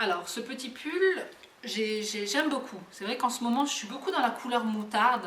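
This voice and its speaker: Noticeable background noise sits behind a woman with a high pitch. She speaks fairly slowly with lively intonation. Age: 30s. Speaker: mother and lifestyle vlogger. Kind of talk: casual talk to camera. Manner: hesitant, many filler words.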